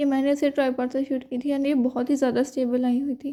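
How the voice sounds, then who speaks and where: With a high pitch yet a dark, mellow tone, a woman speaks in a monotone, flat delivery. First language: not Hindi (speaking Hindi). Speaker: student vlogger. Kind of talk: vlog narration. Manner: casual, chatty.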